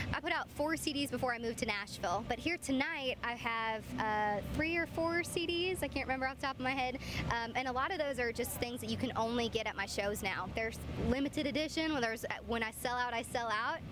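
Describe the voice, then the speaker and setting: With an American accent, a woman talks very fast at a high pitch, with ordinary pitch variation and very even loudness over noticeable background noise. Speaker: country singer-songwriter. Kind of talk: interview. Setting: outdoor event with crowd.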